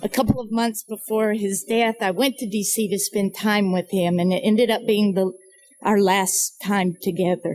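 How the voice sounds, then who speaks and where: An unremarkable speaking voice from a woman, medium in pitch, with an American accent. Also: fairly even intonation, moderate pace. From US South, North Carolina mountains. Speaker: nonprofit founder and speaker. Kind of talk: speech. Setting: fundraising breakfast event. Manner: reflective, measured.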